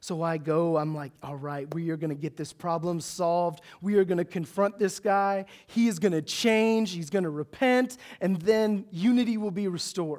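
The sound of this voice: A man speaks at a high pitch with a slightly mellow tone, ordinary pitch variation and few pauses. His pace is moderate, and the recording is very clean with a silent background.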